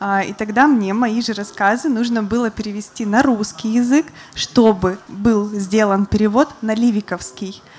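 The pace is fairly slow for this female speaker. She uses ordinary pitch variation. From Republic of Karelia, Russia. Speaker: journalist and writer; journalist. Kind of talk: panel talk with reading in Karelian. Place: stage. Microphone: handheld.

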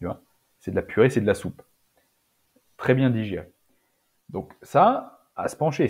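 A man is speaking. His pitch swings very widely. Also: quiet background. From France, Auvergne (rural); France. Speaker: naturopath and nutrition adviser; podcast guest. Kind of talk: casual interview. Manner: halting, many repetitions and fillers. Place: home room. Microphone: earbuds.

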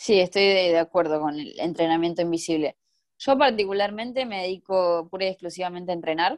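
Over a quiet background, a woman with a fairly low pitch talks at a fairly quick pace with lively intonation. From Argentina. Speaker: Paralympic swimmer; interviewee. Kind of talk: interview. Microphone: video call.

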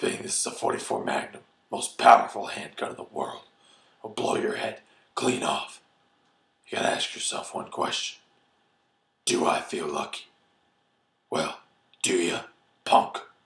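In a put-on character voice, a man speaks with a raspy, menacing tone at a moderate pace, leaving long, frequent pauses. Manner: gravelly, menacing drawl.

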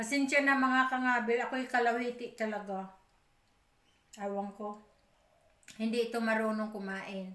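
With audible room echo, a woman talks at a moderate pace and fairly high pitch, her bright, sharp tone carrying fairly even intonation broken by long, frequent pauses. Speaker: vlogger. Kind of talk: casual eating vlog. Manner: chatty, with mouth full while eating. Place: home room. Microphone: phone near.

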